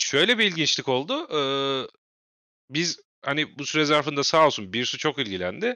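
Vocal fry, very wide pitch swings, and long, frequent pauses. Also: man, fairly high pitch for a man, moderate pace. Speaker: wrestling podcast host. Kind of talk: casual chat.

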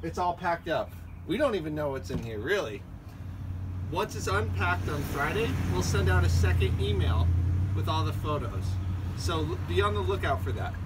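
A man at a moderate pace with long, frequent pauses against loud background noise. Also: ordinary pitch variation. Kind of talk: promotional announcement. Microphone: camera far.

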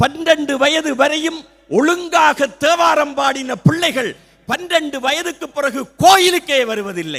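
A man speaks with ordinary pitch variation at an extremely high pitch. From Sri Lanka, Jaffna. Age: 60s. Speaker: retired teacher and Tamil literature speaker. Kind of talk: public speech. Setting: stage with audience. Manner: formal.

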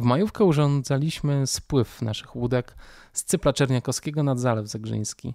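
Man with an ordinary speaking voice, medium pitch and ordinary pitch variation, moderate pace, on a very clean recording with a silent background. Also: dry, close sound with no echo. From Poland, Warsaw. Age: 40s. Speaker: podcast host. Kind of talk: personal monologue.

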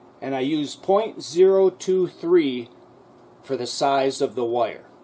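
A man speaks slowly at a medium pitch, his tone dark and mellow and his intonation lively. Room echo is audible.

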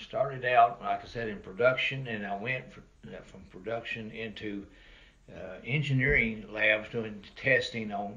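A man speaks over noticeable background noise. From Kentucky (Loretto). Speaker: retiree telling family history. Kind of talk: interview storytelling. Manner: halting.

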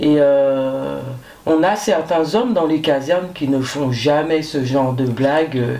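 A woman's very deep, low pitch with ordinary pitch variation, at a very slow pace. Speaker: firefighter; guest. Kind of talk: interview. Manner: hesitant, many fillers. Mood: calm, reflective. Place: studio.

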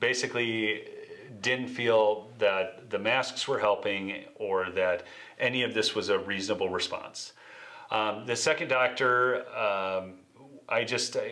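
Against a quiet background, the man talks fairly slowly. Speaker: interview guest. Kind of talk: interview answer. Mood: earnest, reflective. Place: meeting room.

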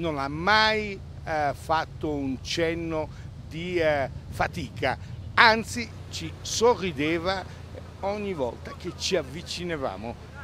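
The speaker talks at a very slow pace, with lively intonation, a bright, sharp tone and long, frequent pauses. The sound is dry with no echo, over light background noise. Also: man, fairly high pitch for a man. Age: old. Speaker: sports commentator. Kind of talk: live commentary.

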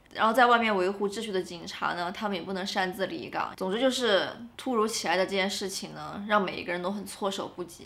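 A woman talks at a very fast pace with vocal fry. Her intonation stays fairly even. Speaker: vlogger. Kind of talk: casual vlog chat. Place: home room.

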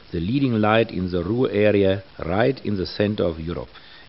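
A man's fairly low voice with a German accent at a moderate pace. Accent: German (Dortmund) accent in English. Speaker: mayor. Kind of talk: official welcome address.

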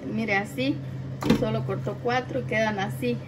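The voice moves at a fairly slow pace. Noticeable background noise runs behind it. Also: woman. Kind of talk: cooking tutorial. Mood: warm, cheerful. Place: kitchen. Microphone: camera far.

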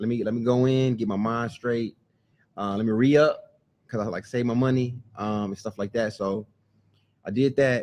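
A man is speaking at a moderate pace. His intonation is fairly even. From Texas, San Antonio; Texas. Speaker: food truck owner; podcast guest. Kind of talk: casual chat. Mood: relaxed storytelling. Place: studio. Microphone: studio mic.

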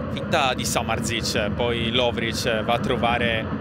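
A man talks at a very slow pace and medium pitch. Noticeable background noise is present. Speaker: football match commentator. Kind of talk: live football match commentary. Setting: stadium match broadcast.

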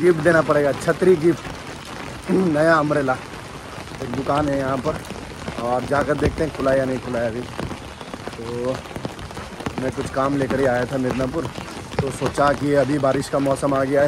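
A man talks at a fairly slow pace with fairly even intonation, leaving long, frequent pauses. The sound is dry with no echo, though noticeable background noise is present. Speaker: vlogger. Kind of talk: casual vlog chat. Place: street. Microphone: phone near.

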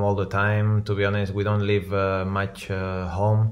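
Against a quiet background, a man talks at a moderate pace in a fairly low pitch. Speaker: remote guest. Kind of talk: interview answer. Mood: relaxed, reflective. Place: home room.

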